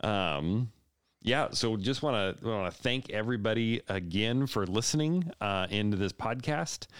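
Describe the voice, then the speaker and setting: A man speaks in a plain, everyday voice at a medium pitch, fairly slowly and with very even loudness. His intonation is lively, and the recording is very clean with a silent background. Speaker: podcast host. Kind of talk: casual interview conversation.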